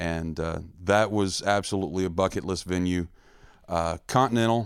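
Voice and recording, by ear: With an American accent, a man talks at a moderate pace in a clear, smooth tone and low pitch, his intonation fairly even. The recording is very clean, with a silent background.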